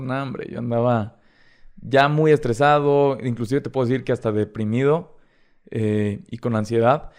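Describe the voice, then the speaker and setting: In a Mexican accent, the speaker goes at a moderate pace with ordinary pitch variation. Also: man. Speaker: TikTok creator. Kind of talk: casual chat.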